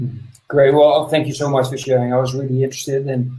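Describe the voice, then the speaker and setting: In a dark, mellow, somewhat breathy tone, a man talks very fast with monotone, flat intonation. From Netherlands. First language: Dutch. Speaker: podcast host. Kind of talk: interview.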